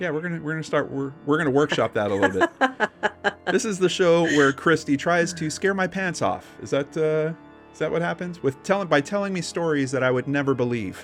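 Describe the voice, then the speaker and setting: A man's fairly high, lively voice at a fairly quick pace, with music in the background. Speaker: podcast co-host. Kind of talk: casual podcast conversation.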